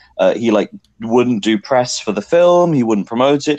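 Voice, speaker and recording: Here a man talks at a moderate pace in an English accent. His pitch varies in an ordinary way over a quiet background. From England. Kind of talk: casual chat.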